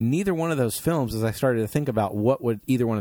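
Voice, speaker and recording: In a very clean recording with a silent background, a man speaks very fast at a medium pitch in a dark, mellow tone with lively intonation. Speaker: podcast host. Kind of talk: casual chat.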